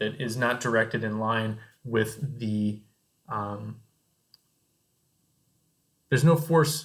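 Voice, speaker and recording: A man's put-on character voice at a medium pitch, mumbling at a very slow pace with long, frequent pauses and ordinary pitch variation. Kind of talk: casual, hesitant, explaining.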